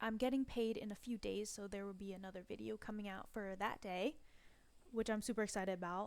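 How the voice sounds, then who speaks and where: This very clean recording has a silent background. A woman talks at a medium pitch, and her pitch varies in an ordinary way. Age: 20s. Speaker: personal finance vlogger. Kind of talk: casual budgeting tutorial. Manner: casual, filler-heavy.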